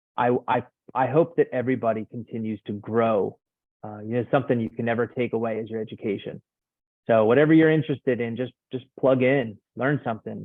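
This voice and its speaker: Speaking at a fairly quick pace in an American accent, the voice keeps a fairly even intonation. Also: man, medium pitch for a man. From US Northeast, Philadelphia suburbs. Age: 40s. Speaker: addiction recovery therapist. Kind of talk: interview conversation. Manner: halting, many fillers.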